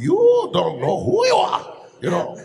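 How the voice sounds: A man uses a raspy, put-on character voice. His delivery comes at a fairly slow pace.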